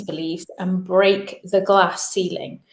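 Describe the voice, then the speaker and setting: Very slowly, a woman talks in an English accent. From England. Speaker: business founder and coach. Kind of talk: webinar talk.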